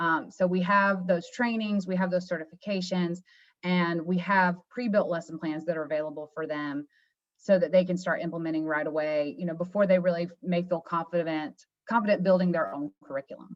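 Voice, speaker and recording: A woman's fairly low voice at a fairly quick pace, with fairly even intonation. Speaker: marketing manager presenting education products. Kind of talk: webinar presentation. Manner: fast.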